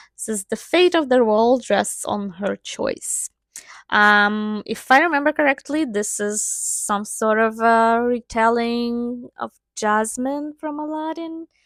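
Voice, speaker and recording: In a non-native accent, a woman speaks fairly slowly at a fairly high pitch with ordinary pitch variation. The recording is very clean with a silent background and a dry, close sound with no echo. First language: not English. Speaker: book reviewer. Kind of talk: casual chat. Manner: hesitant, many fillers.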